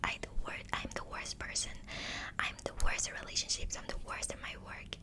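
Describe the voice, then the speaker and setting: A woman is whispering at a moderate pace. Behind her there is noticeable background noise. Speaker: ASMR creator. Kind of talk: ASMR whispered talk to camera. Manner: soothing, reflective, personal.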